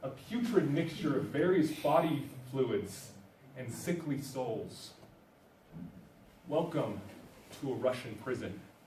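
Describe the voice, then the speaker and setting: Very slow, lively speech broken by long, frequent pauses, with noticeable background noise. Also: man, fairly high pitch for a man. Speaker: university student. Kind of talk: slam poetry performance.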